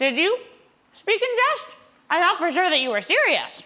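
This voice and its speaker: A woman speaks in a put-on character voice at a moderate pace. Her pitch is extremely high and swings very widely. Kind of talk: comic stage acting. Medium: stage play.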